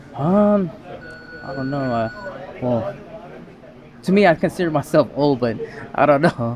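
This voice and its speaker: Over noticeable background noise, a man with an American accent speaks at a fairly slow pace and fairly high pitch, his intonation lively and broken by long, frequent pauses. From US mainland. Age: 40s. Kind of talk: casual interview. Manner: hesitant, many fillers.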